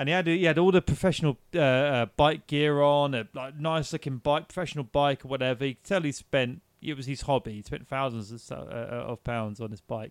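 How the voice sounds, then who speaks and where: In a very clean recording with a silent background and a dry, close sound with no echo, a man with a normal speaking voice and fairly high pitch speaks at a fairly quick pace with hardly any pauses, ordinary pitch variation and big swings in loudness. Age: 40s. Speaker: podcast co-host. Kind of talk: casual chat.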